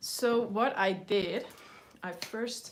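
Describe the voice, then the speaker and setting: With a Dutch accent, a woman talks at medium pitch with ordinary pitch variation. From Netherlands. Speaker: mixed media artist. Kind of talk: live stream art tutorial. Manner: hesitant, many fillers; slow.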